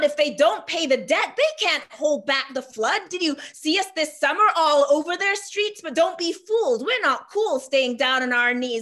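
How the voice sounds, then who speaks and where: A raised, projected voice with lively intonation at a moderate pace over a quiet background. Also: woman. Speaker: spoken word poet. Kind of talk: spoken word poetry performance. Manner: rhythmic, rhyming, emphatic delivery. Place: home room. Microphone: webcam.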